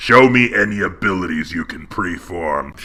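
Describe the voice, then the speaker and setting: A man growls in a put-on character voice at a very deep, low pitch. He keeps a moderate pace. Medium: read story. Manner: regal, measured.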